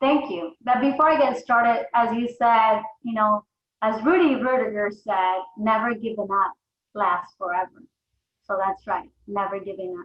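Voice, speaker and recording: A woman talks at a moderate pace in an ordinary speaking voice, fairly high-pitched, with ordinary pitch variation. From Mexico, moved to US at eleven. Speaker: insurance agency founder, entrepreneur. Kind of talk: podcast interview.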